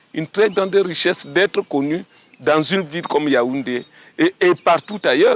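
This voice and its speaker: A man talks fairly slowly in a dry, close sound with no echo. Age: 60s. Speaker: retired walker and runner. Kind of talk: interview testimony. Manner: halting.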